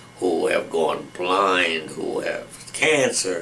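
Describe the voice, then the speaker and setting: Speaking with an American accent, a man is heard amid noticeable background noise and audible room echo. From western Massachusetts (Springfield). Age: 90s. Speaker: retired judge and war veteran. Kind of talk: oral history interview. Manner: halting, many repetitions and false starts.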